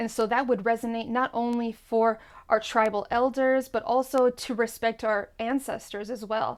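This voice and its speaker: Her fairly high-pitched voice stays monotone and flat as this woman speaks on a very clean recording with a silent background. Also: moderate pace. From Puerto Rican heritage. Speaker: YouTuber and Taino language content creator. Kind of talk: explanatory talk to camera.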